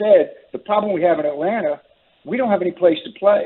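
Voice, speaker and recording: Lively intonation from a male speaker. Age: 70s. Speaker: pickleball advocate. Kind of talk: radio interview.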